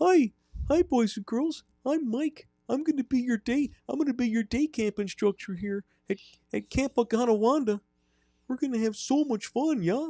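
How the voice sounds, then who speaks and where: The speaker uses a put-on character voice in a Wisconsin accent, cheerful and upbeat. The pitch is fairly high and the pace moderate. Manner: cheerful, upbeat.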